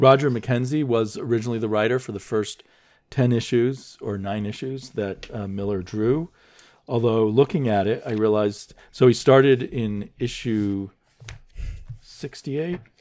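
Here is a man with an ordinary speaking voice at a moderate pace. His pitch variation is ordinary, and the background is quiet. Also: medium pitch for a man. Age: 50s. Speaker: comics podcast host. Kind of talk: casual chat.

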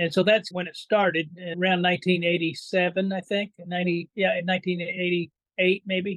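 Very slow speech in an American accent comes with hardly any pauses and monotone, flat intonation. The loudness swings widely. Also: man, high pitch for a man. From Indiana. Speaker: biologist and author. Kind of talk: interview.

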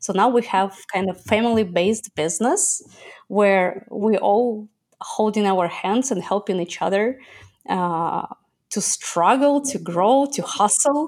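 Here a woman talks at a medium pitch with a Russian accent. Her intonation is lively and her pace fairly slow. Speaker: entrepreneur. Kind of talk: interview.

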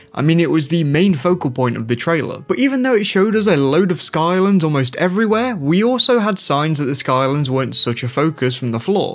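Enthusiastic and fairly quick, this man's fairly high voice swings very widely in pitch, with hardly any pauses. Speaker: gaming YouTuber. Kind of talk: scripted video commentary. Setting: video channel voiceover. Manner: casual, enthusiastic.

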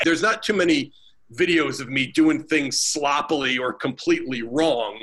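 A man with a normal speaking voice talks at a moderate pace. His pitch is fairly high, with ordinary pitch variation. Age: 40s. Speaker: strength and conditioning coach. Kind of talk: casual chat.

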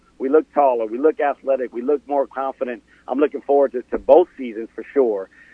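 A man with a plain, everyday voice speaks in a medium pitch at a fairly quick pace. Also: fairly even intonation. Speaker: university athletics official guest. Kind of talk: radio interview answers.

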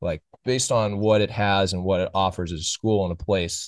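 A man with an American accent and a normal speaking voice talks at a fairly quick pace, his pitch fairly low and intonation fairly even. The sound is dry and close with no echo over a quiet background. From Oakland, California. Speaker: college baseball podcast host. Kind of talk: casual chat.

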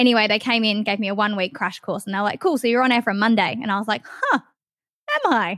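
Speaking very fast with an Australian accent, a woman has a fairly high pitch and fairly even intonation. The sound is dry and close, with no echo. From Western Australia, Perth. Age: 20s. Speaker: radio host. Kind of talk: casual chat.

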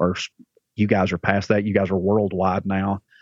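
A man with a Southern US accent talks at a moderate pace, his fairly low pitch held in a monotone, flat intonation. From Alabama. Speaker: church pastor. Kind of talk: casual podcast interview.

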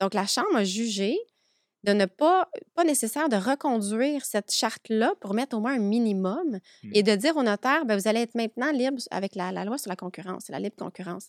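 In a normal speaking voice, a woman talks at a fairly quick pace and fairly high pitch with lively intonation. The recording is very clean, with a silent background and a dry, close sound with no echo. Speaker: notary. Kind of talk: podcast interview.

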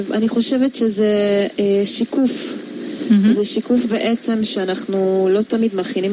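Amid noticeable background noise, a woman talks at a fairly slow pace. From Hungary. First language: Hungarian (speaking Hebrew). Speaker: photographer. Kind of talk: radio interview. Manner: hesitant, many fillers.

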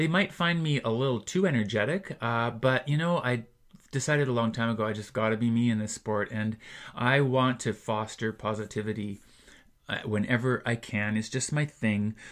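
The recording is very clean, with a silent background. A man with an ordinary speaking voice talks at medium pitch and a moderate pace, with ordinary pitch variation. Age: 60s. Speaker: triathlon coach and athlete. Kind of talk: casual interview chat. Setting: studio.

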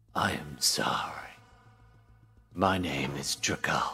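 A man's put-on character voice, very deep and low, raspy and resonant, at a very slow pace, with faint music in the background.

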